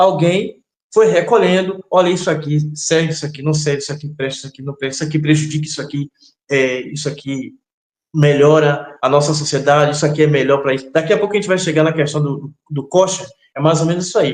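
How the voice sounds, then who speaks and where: A man with a fairly high pitch, ordinary pitch variation and big swings in loudness at a very fast pace. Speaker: religious teacher. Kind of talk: interview. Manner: hesitant, many fillers.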